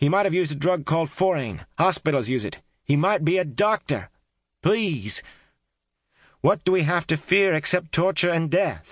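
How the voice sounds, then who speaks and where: A man puts on a hoarse character voice, pitched high, with lively intonation at a moderate pace. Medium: read story. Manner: insistent, forceful.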